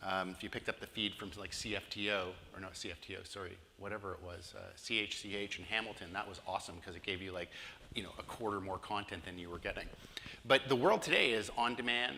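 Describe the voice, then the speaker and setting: Speaking very fast with a Canadian accent, a man with a fairly low pitch keeps a fairly even intonation while his loudness swings widely, amid audible room echo. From Canada, Toronto, Ontario. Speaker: digital marketing consultant. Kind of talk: conference presentation.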